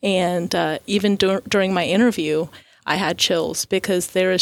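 A woman at medium pitch speaks at a moderate pace with fairly even intonation in a plain, everyday voice, captured in a very clean recording with a silent background. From Florida. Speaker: occupational therapy professor. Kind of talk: radio interview.

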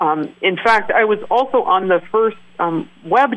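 Very slowly and with lively intonation, a woman speaks in an American accent. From US Pacific Northwest, Oregon (Willamette Valley). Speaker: national park superintendent. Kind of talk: interview.

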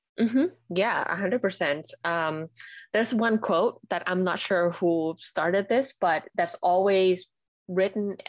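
The speech comes in a Thai accent at a fairly slow pace. Loudness stays very even, and the sound is dry and close with no echo. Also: woman, medium pitch for a woman, ordinary pitch variation. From Thailand. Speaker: UX designer and paper florist. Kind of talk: interview.

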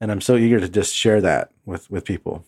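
A man with an American accent at a moderate pace, ordinary pitch variation, and a dry, close sound with no echo. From US, southern California (Imperial Valley). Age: 30s. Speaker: podcast host. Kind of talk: casual chat, personal testimony.

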